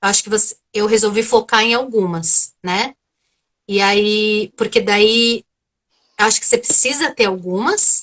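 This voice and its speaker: A woman talks at a fairly slow pace with a strong São Paulo accent, her pitch fairly high and her intonation fairly even. The sound is dry and close, with no echo. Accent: strong São Paulo Brazilian Portuguese. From Brazil, São Paulo. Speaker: psychotherapist. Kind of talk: live video interview.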